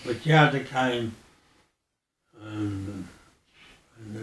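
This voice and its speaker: Audible room echo follows a man speaking slowly at a fairly low pitch. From Birmingham, Balsall Heath. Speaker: oral history interviewee. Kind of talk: oral history interview. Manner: halting.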